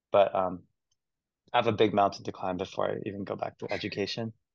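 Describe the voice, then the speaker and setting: A man's fairly low, fairly even-toned voice at a fairly quick pace against a quiet background. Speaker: podcast host. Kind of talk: casual interview chat.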